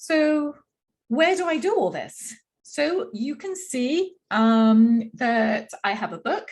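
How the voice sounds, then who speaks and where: With a slight English accent, the somewhat breathy voice moves in lively intonation. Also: woman. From London, England. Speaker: Ayurveda practitioner. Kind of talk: workshop presentation.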